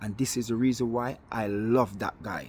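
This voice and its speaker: In a Jamaican accent, a man speaks at a moderate pace with a medium pitch. His tone is animated. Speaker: football fan vlogger. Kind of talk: monologue video rant.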